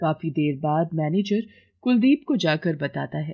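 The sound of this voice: Using vocal fry and a low pitch, a woman speaks at a fairly slow pace with lively intonation.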